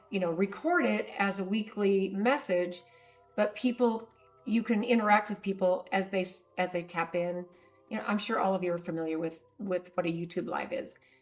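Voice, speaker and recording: Music plays in the background. The voice moves at a moderate pace with ordinary pitch variation. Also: woman, medium pitch for a woman. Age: 60s. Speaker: herbalist. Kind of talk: casual talk to camera.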